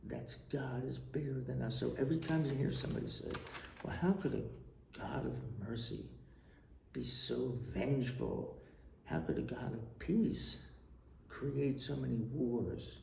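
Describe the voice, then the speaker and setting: An American accent comes through noticeable background noise and audible room echo. The pace is fairly slow, with long, frequent pauses. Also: man. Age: 60s. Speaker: retired tax official and storyteller. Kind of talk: personal vlog monologue. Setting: traveling abroad.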